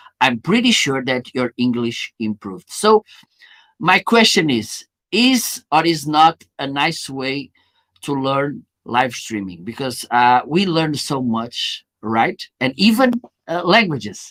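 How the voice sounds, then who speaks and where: A man with a Portuguese accent at a fairly high pitch and a very slow pace, very wide pitch swings, a dry, close sound with no echo, and a very clean recording with a silent background. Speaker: live streaming marketer, show host. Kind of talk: live stream interview.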